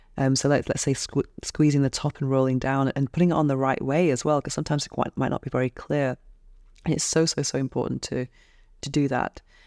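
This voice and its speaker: In a very deep, low voice, a woman talks very fast with flat, monotone intonation. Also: dry, close sound with no echo, very clean recording, silent background. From England. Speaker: podcast host. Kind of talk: interview podcast.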